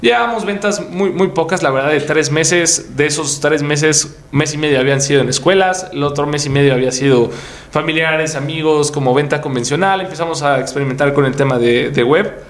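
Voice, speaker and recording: The speech moves at a fairly quick pace with hardly any pauses and very even loudness, with audible room echo and noticeable background noise. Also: man, fairly high pitch for a man, ordinary pitch variation. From Mexico, Puebla. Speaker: entrepreneur and content creator. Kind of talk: interview.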